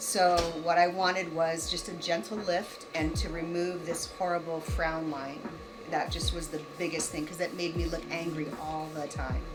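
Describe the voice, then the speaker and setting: Music plays behind a woman whose voice sits fairly low. Her intonation stays fairly even, with audible room echo. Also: moderate pace. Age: 50s. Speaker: client. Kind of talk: testimony.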